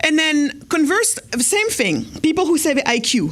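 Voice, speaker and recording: Woman with an animated tone. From Senegal. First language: not English (Wolof/French). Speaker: entrepreneur and speaker. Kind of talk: keynote speech. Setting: stage with audience at gala. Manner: fast.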